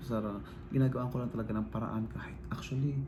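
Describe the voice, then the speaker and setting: Quiet and fairly quick, a man talks at a medium pitch with fairly even intonation and audible room echo. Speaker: vlogger. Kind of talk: casual vlog talk. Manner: quiet, lowered voice; halting, filler-heavy.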